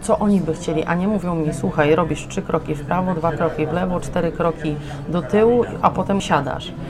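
Her pitch sits fairly low, and a woman talks at a fairly quick pace with fairly even intonation. Audible room echo and noticeable background noise fill the recording. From southern Poland, Limanowa near Nowy Sącz. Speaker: opera singer. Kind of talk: casual chat. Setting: café.

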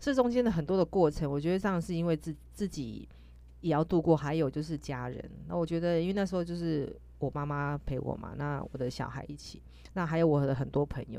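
This woman's voice is very deep and low, with a dark, mellow tone. She talks at a fairly quick pace with lively intonation. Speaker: podcast host. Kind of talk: casual chat. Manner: halting; animated.

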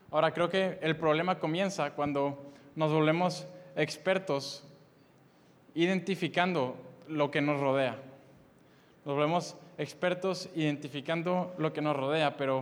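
A man's fairly high, fairly even voice at a fairly slow pace, broken by long, frequent pauses. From Mexico, Monterrey, Nuevo León. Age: 20s. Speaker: youth preacher. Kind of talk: sermon. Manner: halting, frequent repetitions.

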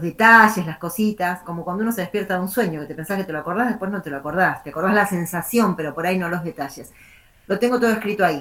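A woman talks very fast at a medium pitch. Her pitch varies in an ordinary way. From Argentina, La Plata. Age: 50s. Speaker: writer. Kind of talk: interview. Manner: rambling, many fillers and repetitions.

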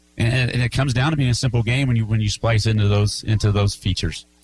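Somewhat breathy, a man rattles along at a very fast pace with fairly even intonation. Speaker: high school basketball coach. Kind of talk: post-game interview. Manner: repetitive, earnest.

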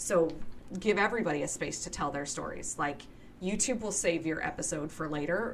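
Heard through audible room echo and noticeable background noise, the voice moves at a fairly quick pace with ordinary pitch variation. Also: woman. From Nova Scotia, Canada. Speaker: podcast host of a tabletop gaming show. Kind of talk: casual interview chat.

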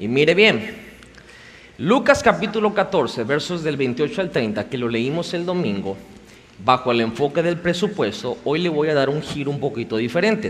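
A man's fairly high voice at a moderate pace with very wide pitch swings, amid noticeable background noise and audible room echo. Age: 30s. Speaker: pastor. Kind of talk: sermon. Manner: animated.

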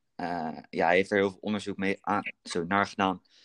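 Over a quiet background, a man talks at a fairly low pitch with a monotone, flat intonation, in a dry, close sound with no echo. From Netherlands, Berkel near Rotterdam. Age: 20s. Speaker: student, fitness podcast co-host. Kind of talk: casual chat.

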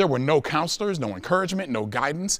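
This man's voice is bright and sharp in tone, with very wide pitch swings. Vocal fry runs through it. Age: 40s. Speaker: public speaker, educator. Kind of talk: prepared talk to audience. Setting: stage with audience. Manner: formal.

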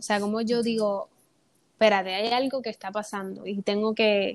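A woman with a fairly high voice speaks at a moderate pace. Her delivery is monotone, with flat intonation. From Puerto Rico. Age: 20s. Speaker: theatre student and actress. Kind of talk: personal testimony in casual interview.

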